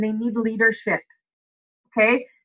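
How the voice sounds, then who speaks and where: The pace is fairly quick. The tone is animated. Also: woman. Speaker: network marketing team leader. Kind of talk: team training call. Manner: fast.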